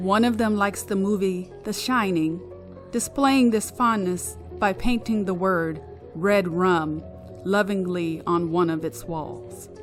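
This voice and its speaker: Music plays behind a woman who speaks very slowly at a medium pitch with lively intonation. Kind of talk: ghost story reading.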